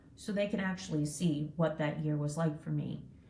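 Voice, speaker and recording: A woman's voice amid noticeable background noise. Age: 60s. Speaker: entrepreneur. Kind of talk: interview. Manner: casual, filler-heavy.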